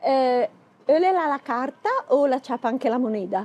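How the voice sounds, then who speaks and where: Very wide pitch swings at a fairly slow pace, in a dry, close sound with no echo. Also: woman. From Bergamo, northern Italy. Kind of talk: humorous casual talk to camera.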